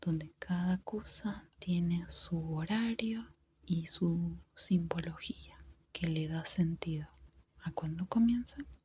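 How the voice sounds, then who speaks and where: The speaker whispers, soft-spoken, at a very slow pace broken by long, frequent pauses. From Argentina. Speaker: ASMR creator. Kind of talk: ASMR book reading. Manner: soft-spoken, whispered.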